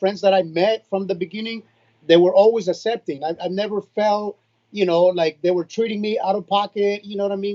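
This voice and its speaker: The speech moves at a fairly quick pace with fairly even intonation, in a Spanish accent. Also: man. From Nicaragua, then San Jose, California. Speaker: reggaeton artist. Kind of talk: casual interview chat.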